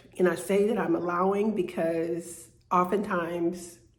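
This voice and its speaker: Heard with audible room echo, a woman speaks at a fairly low pitch with fairly even intonation. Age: 60s. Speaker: vlogger. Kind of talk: personal vlog monologue. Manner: halting, many fillers and repeats.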